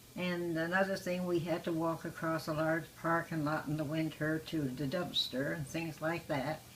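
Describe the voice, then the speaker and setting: A woman talks at a moderate pace in a very deep, low voice. Her intonation is monotone and flat. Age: 90s. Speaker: retirement home resident. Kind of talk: interview.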